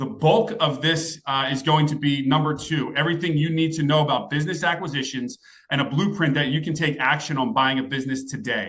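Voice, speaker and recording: Pitched fairly high, a man talks at a fairly quick pace with ordinary pitch variation. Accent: American. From US Northeast, southern New Jersey. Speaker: entrepreneur and business coach. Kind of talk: webinar presentation. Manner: casual, filler-heavy.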